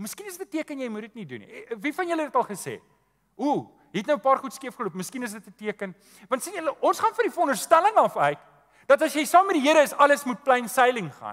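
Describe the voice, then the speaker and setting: Against a quiet background, a man's extremely high-pitched voice shows very wide pitch swings and big swings in loudness. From South Africa. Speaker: pastor. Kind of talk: sermon. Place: church.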